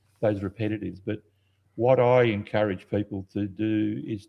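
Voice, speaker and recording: A man's fairly low voice with ordinary pitch variation, at a fairly slow pace. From South Australia, Adelaide. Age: 80s+. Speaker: nature photographer and educator. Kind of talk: interview. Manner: halting.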